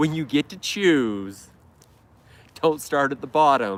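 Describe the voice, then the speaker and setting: Recorded with a dry, close sound and no echo, a man talks at a very slow pace in a fairly high pitch with lively intonation. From Idaho, US. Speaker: lawn care YouTuber. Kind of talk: casual live stream chat. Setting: live stream.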